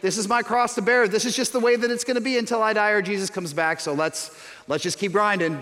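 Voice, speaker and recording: A man with a high pitch and lively intonation. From suburban Chicago, US Midwest. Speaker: pastor. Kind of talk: sermon. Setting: church.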